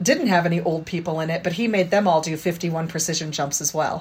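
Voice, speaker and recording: Somewhat breathy and fairly low-pitched, a woman with an American accent talks at a moderate pace with fairly even intonation. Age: 50s. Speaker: parkour practitioner and music teacher. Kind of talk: interview.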